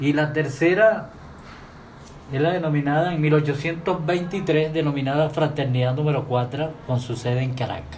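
A man speaks at a fairly slow pace with a fairly high pitch. His pitch varies in an ordinary way, and audible room echo surrounds the voice. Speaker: masonic lodge master and radio host. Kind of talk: radio talk. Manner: formal.

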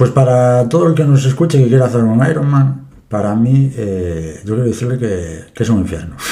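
At a moderate pace, a man talks with a dark, mellow tone, medium pitch, lively intonation and a somewhat breathy quality. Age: 30s. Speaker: forklift operator and amateur triathlete. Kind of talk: interview.

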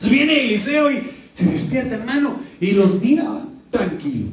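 In a room with audible echo, a man speaks fairly slowly. His pitch is extremely high and swings very widely. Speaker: pastor. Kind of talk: sermon. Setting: church.

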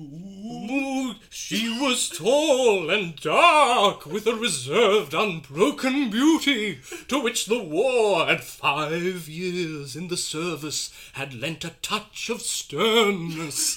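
A man's put-on character voice, high-pitched, at a very slow pace with hardly any pauses. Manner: spooky, eerie.

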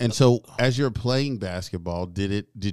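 A man at a moderate pace with ordinary pitch variation, in a dry, close sound with no echo. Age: 40s. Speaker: podcast host. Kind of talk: interview. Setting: studio. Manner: animated.

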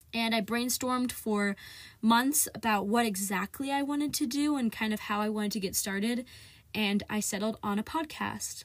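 On a very clean recording with a silent background, a woman with a fairly high pitch and a somewhat breathy voice speaks at a moderate pace with fairly even intonation. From US Midwest, central Ohio. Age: young. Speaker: podcast host, student climate activist. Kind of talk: solo casual podcast monologue.

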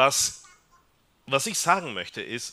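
A man's bright, sharp tone with vocal fry, on a very clean recording with a silent background. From Peru. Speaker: psychiatrist. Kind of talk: talk to a church family audience. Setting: hall with live audience.

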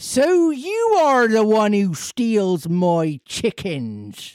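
A put-on character voice in a Cornish accent, fairly high in pitch and very slow, on a very clean recording with a silent background. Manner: angry.

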